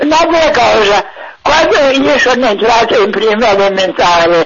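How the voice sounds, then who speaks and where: Against noticeable background noise, a woman talks at a fairly slow pace with a fairly high pitch and very wide pitch swings. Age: 80s+. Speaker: elderly caller. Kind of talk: phone-in conversation. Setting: phone call. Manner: halting.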